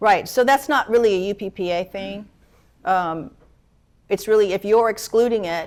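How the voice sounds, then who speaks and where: A woman speaks at a medium pitch with ordinary pitch variation and long, frequent pauses. The recording is very clean, the background silent. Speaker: attorney. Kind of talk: lecture. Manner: fast.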